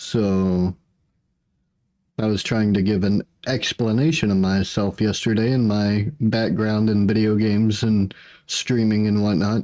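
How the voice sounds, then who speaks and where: A man's dark, mellow tone at a fairly low pitch and a fairly slow pace. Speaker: streamer. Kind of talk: casual chat. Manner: monotone.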